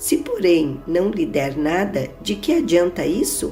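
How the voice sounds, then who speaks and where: A woman speaks over music in the background. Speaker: pastor, Bible reader. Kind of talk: Bible reading, religious narration.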